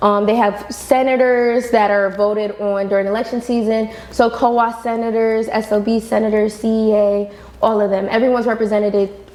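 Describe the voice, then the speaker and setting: A woman's fairly high voice stays monotone and flat while noticeable background noise continues. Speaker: university student leader. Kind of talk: podcast interview. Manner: projecting.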